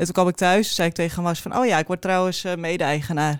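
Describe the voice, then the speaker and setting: This is a very clean recording with a silent background. The speaker is a woman. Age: 30s. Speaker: cheese shop co-owner. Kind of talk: casual interview.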